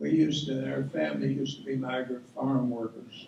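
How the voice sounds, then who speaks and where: Noticeable background noise sits under a man's voice. He speaks at a moderate pace with a Tennessee accent. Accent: Southern US (Tennessee). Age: 80s+. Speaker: guest speaker, retired teacher and coach. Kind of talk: speech to an audience. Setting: awards ceremony with audience. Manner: folksy, conversational.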